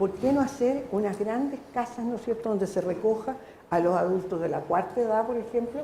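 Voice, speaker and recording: A woman's medium-pitched voice carries ordinary pitch variation at a moderate pace. Room echo is audible. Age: 70s. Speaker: audience member, teacher. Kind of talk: audience question at public debate. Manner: halting, with false starts.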